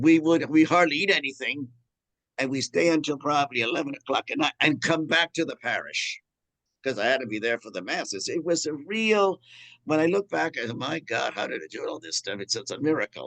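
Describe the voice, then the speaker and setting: Speaking at a fairly quick pace, a man with a fairly high pitch shows vocal fry and lively intonation. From New York, Cuban family. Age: 70s. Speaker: priest and historian. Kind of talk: lecture. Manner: halting, many false starts.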